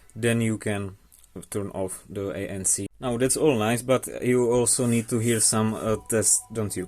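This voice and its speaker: A man with a non-native accent, fairly slow and fairly even in intonation. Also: medium pitch for a man. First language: not English. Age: young. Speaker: tech reviewer. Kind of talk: casual product review to camera.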